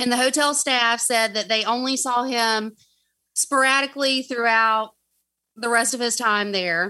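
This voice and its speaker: A woman with a Southern US accent speaks fairly slowly in a high, bright, sharp tone. Her intonation is fairly even, her loudness very even, and the background quiet. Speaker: guest storyteller. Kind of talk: narrating a true crime story.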